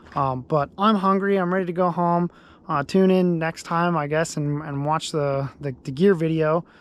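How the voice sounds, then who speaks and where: A man talks in a fairly high voice with fairly even intonation. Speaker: outdoors vlogger. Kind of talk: casual vlog narration. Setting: outdoors on a frozen lake. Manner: fast; hesitant, many fillers.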